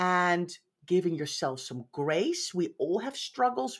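A fairly low-pitched woman with lively intonation and a fairly slow pace, on a very clean recording with a silent background. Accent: Dutch. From Netherlands. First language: Dutch. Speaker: professional organizer. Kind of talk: interview. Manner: direct.

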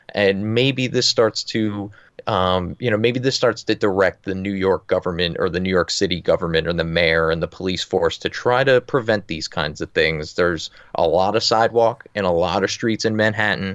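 A man with an American accent and a plain, everyday voice speaks at a moderate pace and a fairly low pitch with ordinary pitch variation, in a very clean, dry, close recording with a silent background and no echo. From New Jersey. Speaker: podcast co-host, politics correspondent. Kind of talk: casual chat.

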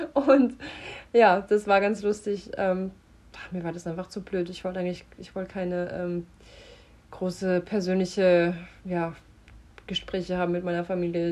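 A woman's medium-pitched voice at a moderate pace. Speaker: model and actress. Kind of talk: casual chat via voice notes.

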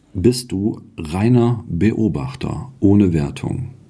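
Noticeable background noise surrounds this man's voice. His pitch swings very widely. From outside the region where the show is made. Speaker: podcast co-host. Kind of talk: casual spiritual discussion. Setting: sitting together in the same room. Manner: animated.

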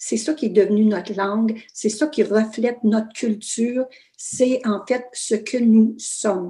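This woman speaks very slowly in an Ontario French accent, her fairly high voice somewhat breathy. Her tone is dark and mellow, and her pitch varies in an ordinary way. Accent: Franco-Ontarian French. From northern Ontario, Canada (Fauquier, Kapuskasing). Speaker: author. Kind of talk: interview. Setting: video call.

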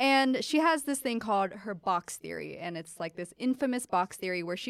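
Using an unremarkable speaking voice, a woman at medium pitch talks at a fairly quick pace with lively intonation, the sound dry and close with no echo. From Pennsylvania. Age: 20s. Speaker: podcast host. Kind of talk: casual interview chat. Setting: studio.

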